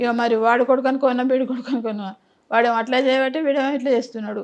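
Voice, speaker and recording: At a high pitch, a woman talks in a monotone, flat way. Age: 80s+. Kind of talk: interview answer.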